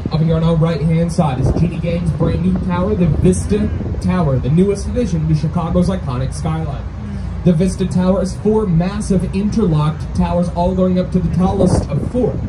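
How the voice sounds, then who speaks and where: A man at a fairly quick pace amid noticeable background noise. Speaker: boat tour guide. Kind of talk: tour guide commentary. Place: boat.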